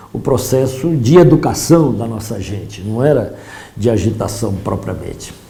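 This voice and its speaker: A man with a medium pitch speaks at a fairly slow pace, with lively intonation and big swings in loudness. The recording has audible room echo and noticeable background noise. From Brazil, São Paulo state. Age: 70s. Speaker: professor and politician. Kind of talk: lecture.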